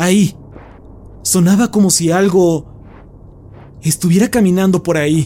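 Speaking in a dramatic tone, a man with a high pitch keeps his intonation fairly even, moving at a fairly slow pace with long, frequent pauses. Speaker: horror story narrator. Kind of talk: scripted narration, creepypasta horror reading, hushed and suspenseful. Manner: slow, hushed, tense pacing with dramatic pauses; first-person narration with a fearful, whispery intensity.

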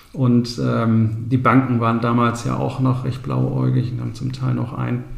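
Over noticeable background noise, a man's voice carries an audible room echo. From Ostwestfalen, Bünde. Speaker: real estate agent and company founder. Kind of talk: interview.

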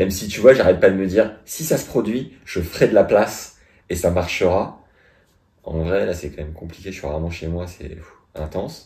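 Very deep and low, a man's somewhat breathy voice has a dark, mellow tone. His loudness swings widely, and he leaves long, frequent pauses. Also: ordinary pitch variation, moderate pace. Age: 30s. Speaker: podcast host. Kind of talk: casual chat.

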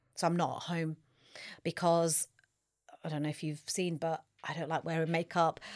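Over a silent background on a very clean recording, a woman speaks at a fairly low pitch and a moderate pace. Her intonation is monotone and flat, with long, frequent pauses. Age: 50s. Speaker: nutritionist and personal trainer. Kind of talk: casual chat.

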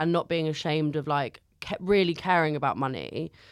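Recorded very cleanly against a silent background, a woman with a very deep, low pitch speaks at a moderate pace with fairly even intonation. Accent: London. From North London. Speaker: comedian. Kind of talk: casual chat. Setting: studio.

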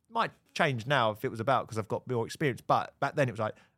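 Recorded very cleanly against a silent background, a man with a southern English accent speaks at medium pitch with ordinary pitch variation. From Hertfordshire, England. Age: 30s. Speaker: football TV presenter. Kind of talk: casual chat.

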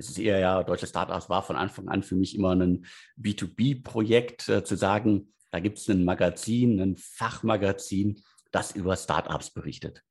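Here a man speaks at a fairly low pitch and moderate pace. His pitch variation is ordinary, and the background is quiet. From Ruhr area, Germany (Bottrop). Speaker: editor-in-chief of a startup news site. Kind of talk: interview. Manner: halting, many fillers.

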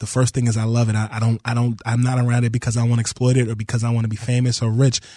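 Very fast, nearly pause-free speech in a dark, mellow, somewhat breathy tone with monotone, flat intonation, on a very clean recording with a silent background. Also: man, medium pitch for a man. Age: 30s. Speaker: basketball reporter. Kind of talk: radio interview.

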